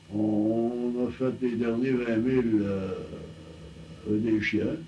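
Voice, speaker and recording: Over noticeable background noise, a man speaks very slowly at a medium pitch, his intonation fairly even and his loudness very even. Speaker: telephone line builder, early telephone pioneer. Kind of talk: oral history interview answer. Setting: archival recording.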